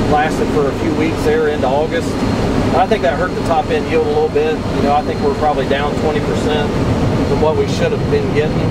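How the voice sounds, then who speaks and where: Loud background noise surrounds a man talking at a fairly quick pace with ordinary pitch variation. The sound is dry, with no echo. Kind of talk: interview answer. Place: farm machine. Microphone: camera far.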